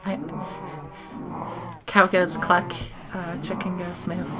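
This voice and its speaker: A woman talks rather slowly while noticeable noise carries on behind her. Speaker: gaming YouTuber. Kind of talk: let's play commentary. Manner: soft-spoken. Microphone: sits far from the microphone.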